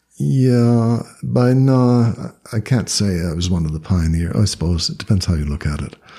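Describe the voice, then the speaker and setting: Noticeable background noise is present throughout. Over it, a man's pitch swings very widely. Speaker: Buddhist teacher and author. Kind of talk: interview. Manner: hesitant with fillers.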